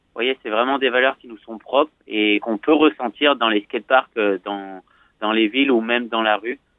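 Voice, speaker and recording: With a slight southern French accent, a man talks at a moderate pace and a medium pitch, his intonation fairly even and his loudness swinging widely. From southwestern France, Bordeaux. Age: 20s. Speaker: professional skateboarder. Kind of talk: interview. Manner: gentle; hesitant, many fillers.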